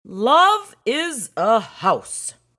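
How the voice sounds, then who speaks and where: Using a put-on character voice, a man speaks at an extremely high pitch with very wide pitch swings. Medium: read story. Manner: plainspoken.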